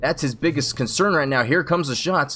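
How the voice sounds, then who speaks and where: This man has a fairly high pitch. His pitch variation is ordinary. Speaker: esports shoutcaster. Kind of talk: live commentary. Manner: loud; animated.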